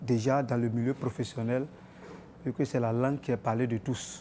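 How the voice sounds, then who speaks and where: Fairly even intonation marks this man's medium-pitched voice, which has a dark, mellow tone. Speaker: interviewee in street poll. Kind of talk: vox pop interview.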